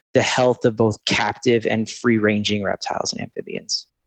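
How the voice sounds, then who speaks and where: With an American accent, a man speaks in a plain, everyday voice at medium pitch and with fairly even intonation, the sound dry and close with no echo. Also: quiet background. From US Northeast, southern New Jersey. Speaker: amphibian pathologist. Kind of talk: interview.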